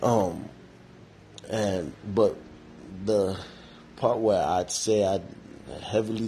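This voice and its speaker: A man's voice, dark and mellow in tone and somewhat breathy, stays monotone and flat. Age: 30s. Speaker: podcast host. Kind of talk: casual solo monologue. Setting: podcast recording. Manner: rambling with many fillers.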